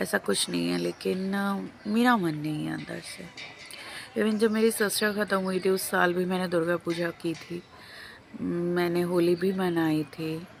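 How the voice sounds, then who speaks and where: A woman's fairly low voice in a Bengali accent, with ordinary pitch variation. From Lucknow, India. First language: Bengali (speaking Hindi). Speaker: vlogger. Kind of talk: casual vlog talk.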